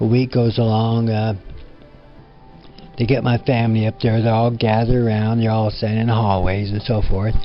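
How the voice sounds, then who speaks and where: A man's monotone, flat intonation broken by long, frequent pauses, with music in the background. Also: medium pitch for a man, fairly quick pace. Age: 70s. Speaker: quadriplegic spinal cord injury survivor. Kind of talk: personal life story talk. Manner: hesitant, halting.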